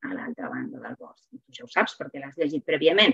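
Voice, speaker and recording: The backdrop is quiet while a woman talks. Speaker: literature teacher and reading promoter; literature teacher. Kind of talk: webinar lecture with slides. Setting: video call webinar. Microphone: video call.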